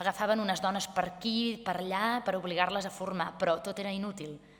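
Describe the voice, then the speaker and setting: Here a woman speaks at a medium pitch. Her pace is moderate. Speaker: actress. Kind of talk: literary reading. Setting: live event.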